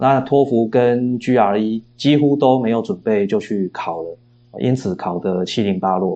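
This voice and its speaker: A man's medium-pitched voice, fairly slow pace and ordinary pitch variation. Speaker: philosophy professor and novelist. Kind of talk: interview. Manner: frequent hesitation fillers.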